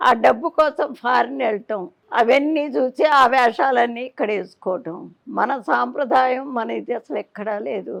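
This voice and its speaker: High-pitched for a woman, her voice shows ordinary pitch variation. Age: 80s+. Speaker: temple priest. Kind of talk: interview answer.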